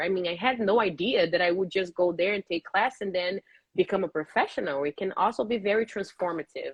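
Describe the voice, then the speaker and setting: A woman in a Brazilian accent, medium in pitch, with lively intonation. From Brazil, Rio de Janeiro. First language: Portuguese. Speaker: professional ballet dancer. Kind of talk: interview.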